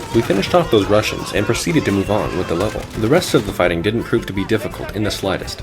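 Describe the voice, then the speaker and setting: Over music in the background, a man with a fairly low pitch talks at a very fast pace, with lively intonation and hardly any pauses. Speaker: gaming youtuber. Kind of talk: scripted narration.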